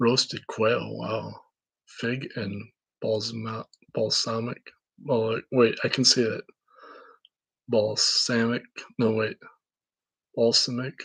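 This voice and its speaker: A man with a medium pitch and a Minnesotan accent talks at a very slow pace, with long, frequent pauses. His intonation stays fairly even. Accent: Minnesota. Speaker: independent researcher / vlogger. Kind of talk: casual monologue. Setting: camera recording. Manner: halting, many fillers and restarts.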